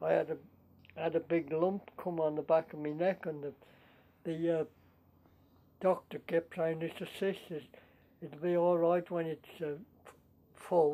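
A man with a high pitch and a dark, mellow tone speaks fairly slowly in a flat monotone, leaving long, frequent pauses. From Shropshire / Staffordshire border, England. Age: 80s+. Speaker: war veteran. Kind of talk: interview answer.

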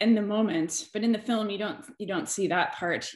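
A woman's voice comes through with audible room echo against a quiet background. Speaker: scientist panelist; panelist. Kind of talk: panel discussion. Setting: video call. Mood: earnest, reflective. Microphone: webcam.

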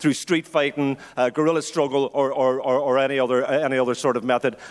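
A man talks at a very fast pace with a fairly high pitch and fairly even intonation. The background is quiet. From London. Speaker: audience member and activist; speaker. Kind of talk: floor contribution. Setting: stage with audience. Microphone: handheld.

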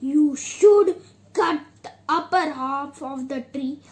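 A woman puts on a cartoonish character voice at a high pitch. She speaks at a very slow pace. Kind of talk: puppet show storytelling.

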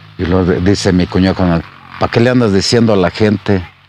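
On a dry recording with no echo and light background noise, a man speaks in a very deep, low voice at a moderate pace with fairly even intonation. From Jalisco, Mexico (Capilla de Guadalupe); Jalisco, Mexico. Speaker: former local official and musician; storyteller. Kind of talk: storytelling. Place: garden. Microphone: lapel.

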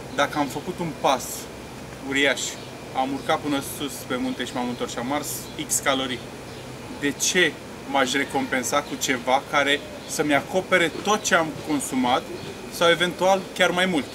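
Speaking at a fairly slow pace with long, frequent pauses, a man shows ordinary pitch variation over noticeable background noise. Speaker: interviewee. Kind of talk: interview answer. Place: stadium.

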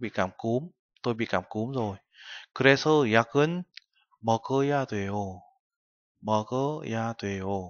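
With a dry sound and no echo, a man talks at a very slow pace with long, frequent pauses and ordinary pitch variation. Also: medium pitch for a man, quiet background. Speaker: Korean language teacher. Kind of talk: lecture. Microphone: webcam.

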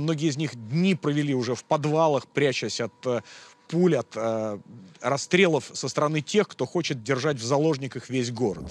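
The recording is dry and free of echo. A man talks at moderate speed, his pitch varying in an ordinary way. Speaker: TV reporter. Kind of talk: field news report to camera. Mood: serious, grave. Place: street.

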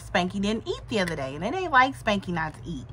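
A woman's bright, sharp voice with vocal fry over light background noise. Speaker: vlogger. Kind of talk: casual vlog chat. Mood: chatty storytelling, concerned. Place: home room. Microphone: phone near.

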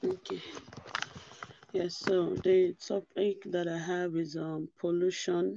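A woman with a fairly low pitch speaks at a very slow pace, flat and monotone, with long, frequent pauses and noticeable background noise. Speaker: bible study speaker; presenter. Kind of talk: religious talk on video call; talk presentation. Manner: quiet, low voice; halting. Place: home room. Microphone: headset.

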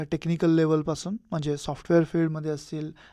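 A man speaks in a fairly high pitch with a dark, mellow tone. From Ratnagiri, Konkan, Maharashtra. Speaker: software company director. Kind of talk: radio interview.

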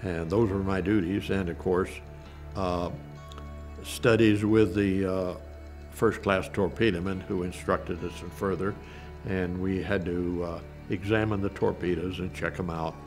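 Clear music plays behind a man with a very deep, low pitch who talks at a fairly slow pace with fairly even intonation and long, frequent pauses. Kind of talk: interview answer. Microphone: lapel.

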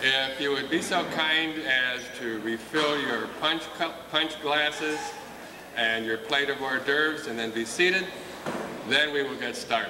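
Noticeable noise sits behind a man speaking fairly slowly. His voice is fairly high, with ordinary pitch variation. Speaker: school principal. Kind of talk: ceremony emcee. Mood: warm, proud. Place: hall. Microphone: pa.

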